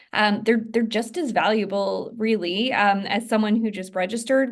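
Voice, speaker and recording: An ordinary speaking voice, moderately paced, ordinary pitch variation. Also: woman. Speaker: inside sales manager for a real estate team. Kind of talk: training presentation. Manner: many fillers and restarts.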